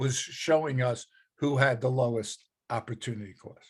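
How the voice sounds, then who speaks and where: The man's voice carries some breathiness. His speed is medium. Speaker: economics teacher. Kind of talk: lecture.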